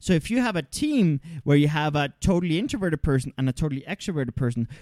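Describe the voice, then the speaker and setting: A man talks in a normal speaking voice, fairly high in pitch with lively intonation. The recording is very clean and silent behind him, with a dry, close sound and no echo. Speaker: podcast host and co-founder of personal development business. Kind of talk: casual conversational discussion. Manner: frequent filler words.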